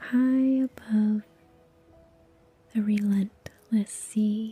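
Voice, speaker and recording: Somewhat breathy and monotone, a woman speaks at a very slow pace with flat intonation. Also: dry, close sound with no echo. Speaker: meditation guide. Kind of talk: guided meditation. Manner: soft-spoken.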